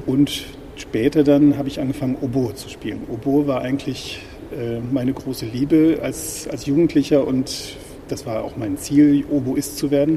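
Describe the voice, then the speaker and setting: Over noticeable background noise, a man with a fairly high pitch talks at a moderate pace with fairly even intonation and big swings in loudness. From northwest Germany, village near Osnabrück. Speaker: church musician and organist. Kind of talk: interview. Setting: in a church.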